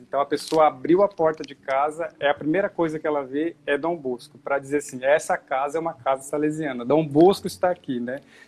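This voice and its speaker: The speaker has an unremarkable speaking voice. Delivery runs at a moderate pace with fairly even intonation. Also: man, hardly any pauses. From Brazil, São Paulo state coast (Caraguatatuba). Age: 30s. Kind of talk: casual chat.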